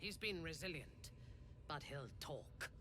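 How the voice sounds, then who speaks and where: Over loud background noise, someone uses a put-on character voice at a fairly slow pace. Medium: video game. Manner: zealous, fervent.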